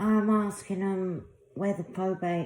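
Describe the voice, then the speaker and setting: There is noticeable background noise behind this speaker with a London accent. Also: woman. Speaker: video blogger. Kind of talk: personal testimony monologue.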